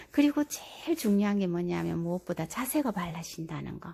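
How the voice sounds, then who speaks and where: On a very clean recording with a silent background, a woman speaks at a fairly slow pace with a fairly low pitch, a somewhat breathy delivery and a dark, mellow tone. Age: 60s. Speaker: senior health-exercise vlogger. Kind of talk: casual talk to camera, instructional explanation.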